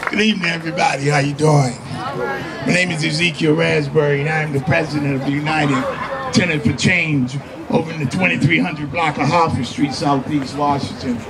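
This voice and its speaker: Over crowd noise in the background and with audible room echo, the voice moves at a fairly quick pace with ordinary pitch variation. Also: man, fairly high pitch for a man. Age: 60s. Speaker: tenant association president. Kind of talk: rally speech. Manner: halting, repetitive.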